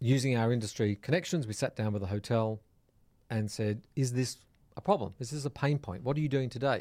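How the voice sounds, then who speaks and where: Recorded very cleanly over a silent background, a man with an Australian accent speaks at a fairly quick pace, his medium pitch showing ordinary variation. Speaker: hospitality software entrepreneur. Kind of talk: casual interview. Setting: studio.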